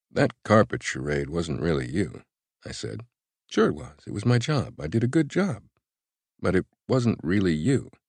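A man with a very deep, low pitch and vocal fry talks at a moderate pace with long, frequent pauses. His pitch swings very widely and his loudness varies greatly, in a dry, close sound with no echo. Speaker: audiobook narrator. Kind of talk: dramatic audiobook narration, first-person fiction reading. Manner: conversational, carefully paced, with restrained emotion; intimate, tender, slightly nervous in the love scene.

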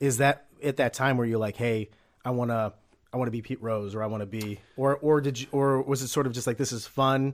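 An unremarkable speaking voice from a man, medium in pitch, fairly quick, with fairly even intonation. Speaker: podcast host. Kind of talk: interview. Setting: home studio. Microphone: echo in the room.

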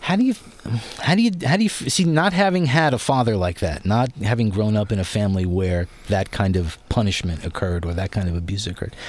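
Very fast, lively speech from a man over noticeable background noise. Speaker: radio host. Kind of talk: radio interview. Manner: enthusiastic, animated.

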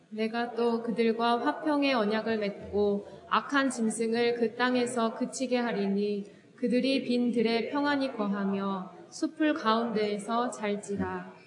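Over noticeable background noise, a woman with a fairly high pitch speaks at a very slow pace, her loudness very even and her intonation fairly even. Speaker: church deacon leading scripture reading. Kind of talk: reading aloud.

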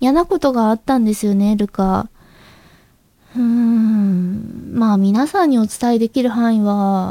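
A quiet woman's voice, fairly high in pitch with a dark, mellow tone, fairly slow in pace, with very even loudness and ordinary pitch variation. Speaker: amateur voice actress and podcast host. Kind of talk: solo podcast talk.

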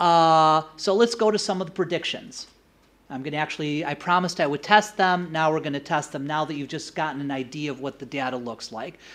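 A man with an American accent speaks at a fairly quick pace in an ordinary speaking voice, his pitch fairly high for a man with ordinary variation. The recording is very clean, with a silent background. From United States. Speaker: political science professor. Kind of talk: academic lecture.

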